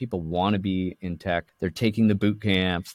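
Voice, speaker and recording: An ordinary speaking voice from a man at a fairly quick pace, with fairly even intonation and a dry, close sound with no echo. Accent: Canadian. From Canada, Toronto area. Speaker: tech company co-founder. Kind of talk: interview.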